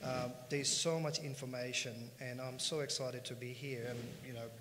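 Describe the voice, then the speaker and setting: Flat, monotone intonation from a medium-pitched man at a moderate pace, with noticeable background noise and audible room echo. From India, Punjabi. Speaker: finance company co-founder. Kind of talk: conference panel talk.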